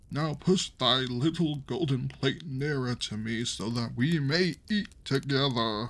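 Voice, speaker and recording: This is a put-on character voice. It goes at a fairly slow pace. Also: man, medium pitch for a man. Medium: read story. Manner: pleading, insistent.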